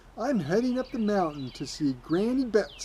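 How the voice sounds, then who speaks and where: A put-on character voice at a fairly high pitch swings very widely in pitch at a moderate pace. Clear background noise runs underneath. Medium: read story.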